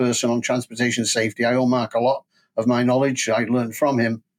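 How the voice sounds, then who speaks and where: Talking at a very fast pace, a man with a Manchester accent uses a medium pitch. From northern England, Manchester. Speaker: school transport safety expert. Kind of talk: interview. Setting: podcast.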